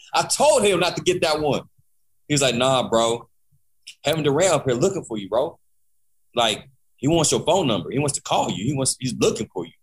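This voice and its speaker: With an American accent, a man speaks at a fairly high pitch with lively intonation and vocal fry. Long, frequent pauses break up his speech. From Kansas, military family. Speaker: music producer. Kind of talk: casual interview.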